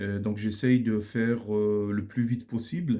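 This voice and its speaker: This man's tone is dark and mellow. He talks fairly slowly. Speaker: Arabic grammar teacher. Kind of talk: lecture.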